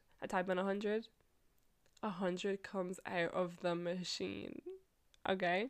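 Bright and sharp, a woman's medium-pitched voice comes across with an animated tone. The recording is very clean with a silent background. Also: long, frequent pauses. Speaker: solo podcaster. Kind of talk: casual monologue storytelling. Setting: recording alone in her room. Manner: animated, laughing often.

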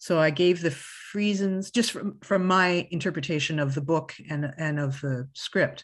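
Against a quiet background, a woman with a Canadian Prairies accent speaks at a fairly low pitch. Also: ordinary pitch variation, moderate pace. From Canada, Winnipeg, Manitoba. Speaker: costume designer. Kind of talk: interview.

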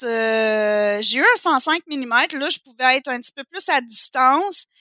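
Over a silent background in a very clean, dry, close recording with no echo, a woman uses a raised, projected voice with a bright, sharp tone and lively intonation at a very slow pace. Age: 30s. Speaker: photographer. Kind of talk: casual chat.

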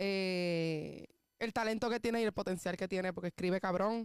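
A woman speaks at a moderate pace with fairly even intonation. It is a plain, everyday voice. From Puerto Rico, south (Juana Díaz). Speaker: singer. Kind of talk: interview.

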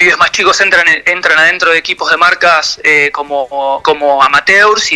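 Recorded dry and close with no echo but with noticeable background noise, a man speaks high at a moderate pace with fairly even intonation. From Argentina, Quilmes (Buenos Aires). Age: 40s. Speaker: professional skateboarder. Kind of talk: radio interview. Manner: halting.

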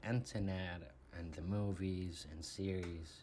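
A man's very deep, low voice at a very slow pace, with noticeable background noise and audible room echo. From Saudi Arabia, Riyadh. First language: Arabic. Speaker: podcast guest. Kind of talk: interview.

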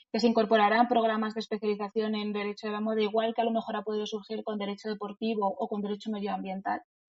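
A woman speaks very fast at a fairly high pitch. Music plays in the background. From Spain, Madrid. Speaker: lawyer and podcast host. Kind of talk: interview.

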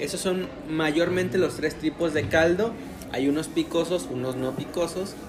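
Music plays in the background and audible room echo surrounds a man whose fairly high pitch shows ordinary pitch variation. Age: 20s. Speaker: podcast co-host. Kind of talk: casual chat.

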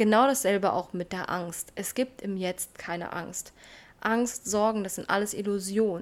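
A plain, everyday voice moves at a fairly slow pace with ordinary pitch variation. The recording is very clean, with a silent background. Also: woman, medium pitch for a woman. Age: 20s. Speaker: self-development podcaster. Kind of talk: casual personal monologue.

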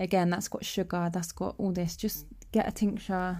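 Speaking at a moderate pace, a woman has a dark, mellow tone and monotone, flat intonation. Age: 20s. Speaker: youth worker. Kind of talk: casual chat.

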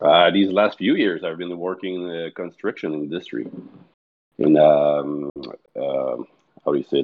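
With a Quebec accent, the speaker moves at a fairly slow pace with long, frequent pauses. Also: man. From Quebec, Montreal. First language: French. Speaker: darts league player. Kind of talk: casual chat.

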